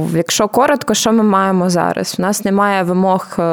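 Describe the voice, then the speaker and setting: At a moderate pace, a woman speaks in an unremarkable speaking voice with ordinary pitch variation. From Ukraine, Zhytomyr. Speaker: podcast host. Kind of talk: casual explanatory chat.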